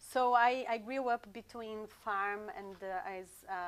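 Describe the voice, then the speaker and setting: Here a woman with a Portuguese accent talks at a very slow pace. Her voice is fairly high, with fairly even intonation. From Brazil, rural countryside. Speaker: sound therapist. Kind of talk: interview. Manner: halting, many fillers and repeats.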